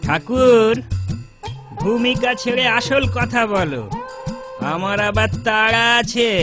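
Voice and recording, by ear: A man puts on a cartoonish character voice, extremely high in pitch with a fairly bright tone. He goes at a slow pace with ordinary pitch variation, and faint music plays in the background.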